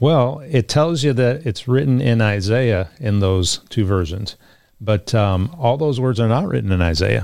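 A man's plain, everyday voice at medium pitch, fairly slow pace, lively intonation, and very even loudness in a very clean recording with a silent background. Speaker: pastor. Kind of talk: panel discussion on Bible topics.

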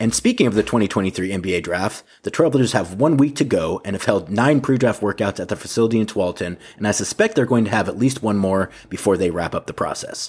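A man with an American accent talks in a normal speaking voice, fairly low in pitch, at a fairly quick pace with ordinary pitch variation and hardly any pauses. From US Pacific Northwest (Portland, Oregon). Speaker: sports podcast host. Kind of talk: podcast narration and interview.

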